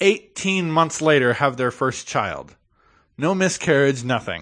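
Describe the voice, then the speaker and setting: A man talks at a moderate pace in an unremarkable speaking voice, pitched fairly high with ordinary pitch variation. The background is quiet. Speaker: podcast co-host. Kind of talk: casual chat.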